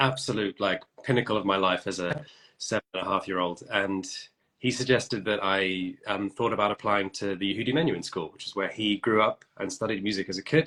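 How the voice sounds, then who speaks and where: Fairly quick, bright and sharp-toned speech from a man, fairly low in pitch with ordinary pitch variation. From England. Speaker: violinist. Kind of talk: casual chat. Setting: at home.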